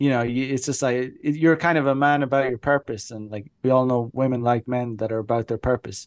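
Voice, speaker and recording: A man with an Irish accent talks with hardly any pauses and fairly even intonation. The sound is dry and close with no echo, over a quiet background. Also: medium pitch for a man. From Ireland. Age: 30s. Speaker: dating coach. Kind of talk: casual chat. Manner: halting.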